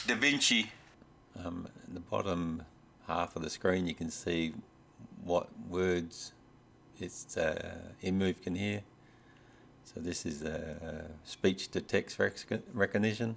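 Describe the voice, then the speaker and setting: Pausing long and often, a man with an Australian accent speaks at a very slow pace in a very deep, low pitch. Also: ordinary pitch variation. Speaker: robot hobbyist YouTuber. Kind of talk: tutorial. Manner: hesitant, many fillers. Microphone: USB microphone plugged into laptop.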